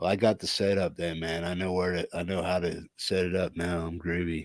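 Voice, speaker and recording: A mumbling man at a fairly slow pace, very deep and low in pitch, with monotone, flat intonation. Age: 50s. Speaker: channel owner and podcaster. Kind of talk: casual chat. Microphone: testing new mic setup.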